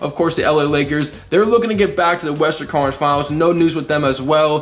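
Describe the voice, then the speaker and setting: Talking at a very fast pace, a man uses ordinary pitch variation. Noticeable background noise is present. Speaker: sports video creator. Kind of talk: casual commentary. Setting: face cam recording. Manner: animated.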